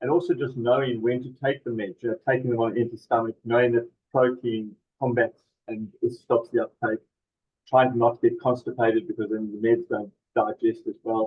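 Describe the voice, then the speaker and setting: Here is a man with a New Zealand accent at a medium pitch. He talks at a fairly quick pace with fairly even intonation. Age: 60s. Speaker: charity representative with Parkinson's. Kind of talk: webinar moderation. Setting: video webinar.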